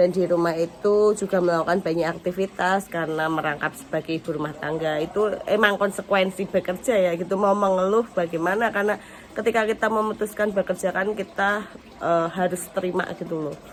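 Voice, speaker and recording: Noticeable background noise sits under a fairly quick pace with hardly any pauses. The intonation stays fairly even. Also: woman, medium pitch for a woman. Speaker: vlogger, factory worker and housewife. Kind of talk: casual vlog.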